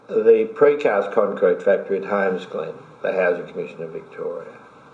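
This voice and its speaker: A man's voice over noticeable background noise. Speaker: former mayor and community activist, interviewee. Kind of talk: oral history interview answer.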